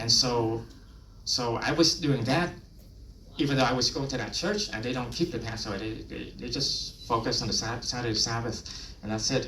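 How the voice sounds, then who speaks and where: A man speaks at a moderate pace with a Vietnamese accent. There is noticeable background noise. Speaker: lay preacher. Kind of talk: personal testimony.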